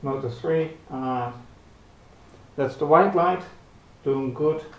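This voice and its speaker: Delivered at a very slow pace with fairly even intonation, the voice carries audible room echo. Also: man, fairly high pitch for a man. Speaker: hobbyist robotics youtuber. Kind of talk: tutorial. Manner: soft-spoken; halting. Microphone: camera built-in mic.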